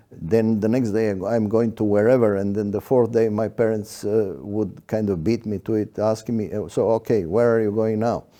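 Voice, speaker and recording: A man with a dark, mellow tone speaks at a fairly low pitch and moderate pace. His intonation is fairly even, with hardly any pauses. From Yugoslavia. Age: 70s. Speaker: iconographer artist. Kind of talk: interview. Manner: hesitant, many fillers.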